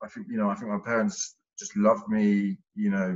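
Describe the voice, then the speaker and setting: Here a man speaks with a slight Essex accent. His pace is moderate. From Hertfordshire near Essex, England. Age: 20s. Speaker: podcast guest, recovering ex-offender. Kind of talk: casual interview chat. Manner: halting, many fillers.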